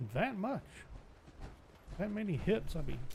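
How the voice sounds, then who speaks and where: In an American accent, a man talks at a fairly slow pace with a high pitch and very wide pitch swings. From US Midwest. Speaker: gaming streamer. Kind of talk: live gameplay commentary. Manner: casual, chatty.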